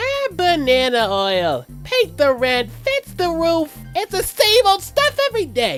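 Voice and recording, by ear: With clear music in the background, a man uses a put-on character voice at an extremely high pitch and a fairly slow pace.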